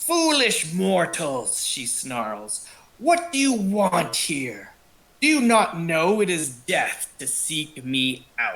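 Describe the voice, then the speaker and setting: A man puts on a character voice, high in pitch and growling. He speaks at a very slow pace. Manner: snarling, hateful.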